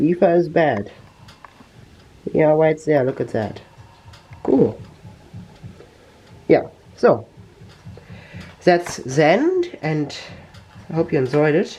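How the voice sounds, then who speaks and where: A man with a German accent speaks at a very slow pace, leaving long, frequent pauses. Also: ordinary pitch variation. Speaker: tech YouTuber. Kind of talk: tutorial. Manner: halting.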